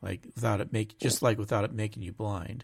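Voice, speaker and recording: The recording is very clean, with a silent background. A man speaks at a fairly low pitch. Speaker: podcast host. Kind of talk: casual chat. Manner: halting, self-correcting.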